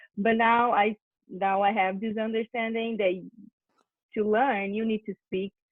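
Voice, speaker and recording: A woman with a Portuguese accent speaks at a fairly high pitch and moderate pace. Her intonation stays monotone and flat. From Brazil, São Paulo countryside. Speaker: au pair. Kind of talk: casual interview.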